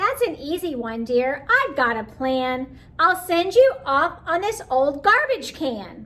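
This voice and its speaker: The put-on character voice moves at a fairly slow pace with hardly any pauses. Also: woman, high pitch for a woman. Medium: read story.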